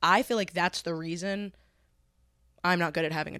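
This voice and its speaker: A woman with a normal speaking voice talks at a moderate pace. Her pitch is fairly low, with ordinary pitch variation. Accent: American. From US Midwest, Columbus, Ohio. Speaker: podcast host and comedian. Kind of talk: casual chat. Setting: home studio, living room.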